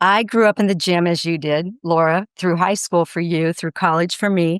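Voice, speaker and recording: Speaking at a moderate pace, a woman with a fairly low pitch and fairly even intonation has an unremarkable speaking voice, recorded very cleanly with a silent background and a dry, close sound with no echo. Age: 60s. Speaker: fitness and nutrition expert. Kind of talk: podcast interview.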